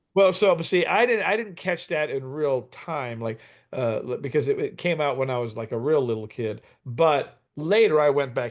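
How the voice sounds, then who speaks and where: Against a quiet background, an unremarkable speaking voice moves at a fairly quick pace with lively intonation. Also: man. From Los Angeles area, California (Compton). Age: 60s. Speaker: drummer. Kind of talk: casual chat.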